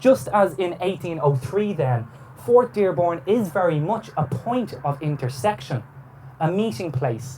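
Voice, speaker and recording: Speaking at a fairly slow pace with an Irish accent, a man swings his fairly high pitch very widely. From Ireland. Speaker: historian. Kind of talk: lecture. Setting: on a boat cruise. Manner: formal.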